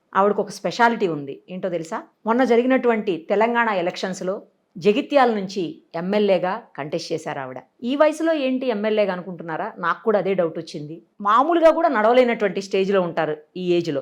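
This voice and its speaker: This woman's voice sits at a medium pitch. Her pitch swings very widely. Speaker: TV interviewer. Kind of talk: news-style introduction to camera.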